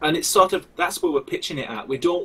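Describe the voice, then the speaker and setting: A man talks in a strong Lancashire accent. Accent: thick Wigan. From northern England, Wigan. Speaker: game developer. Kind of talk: live stream interview.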